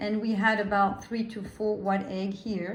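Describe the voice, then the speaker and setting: With audible room echo, a woman speaks in a somewhat breathy, fairly high voice with a French accent. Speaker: French teacher. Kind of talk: cooking tutorial with language teaching. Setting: home kitchen.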